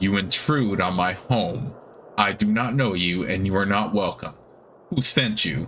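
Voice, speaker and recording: Using a put-on character voice with a fairly low pitch, a man speaks at a moderate pace over clear background noise. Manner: annoyed, unwelcoming.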